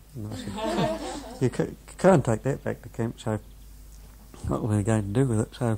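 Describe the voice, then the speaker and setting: Noticeable background noise runs under a man whose speech moves fairly quickly. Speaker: former coastal battery gunner, war veteran. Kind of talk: oral history interview answer, anecdote. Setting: interview recording, home or school.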